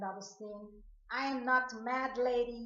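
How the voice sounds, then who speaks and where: A woman's high-pitched voice is heard with audible room echo. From Guyana, Georgetown. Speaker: video blogger. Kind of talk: personal monologue rant to camera.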